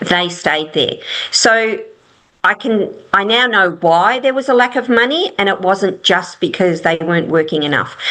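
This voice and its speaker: At a moderate pace, a woman with medium pitch and a bright, sharp tone speaks with lively intonation and very even loudness. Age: 60s. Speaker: property investment strategist. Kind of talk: interview. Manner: halting.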